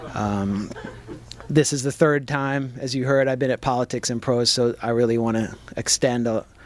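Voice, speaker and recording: A man with a plain, everyday voice, medium pitch and an American accent, at a moderate pace with fairly even intonation. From US, Washington DC. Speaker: journalist and author. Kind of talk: book talk to audience. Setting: bookstore with audience.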